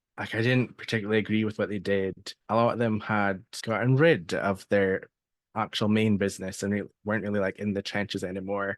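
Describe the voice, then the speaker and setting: A Scottish accent with fairly even intonation, dry and close with no echo, against a quiet background. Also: man, fairly low pitch for a man, fairly quick pace. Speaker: seller coach and email marketer. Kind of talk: interview.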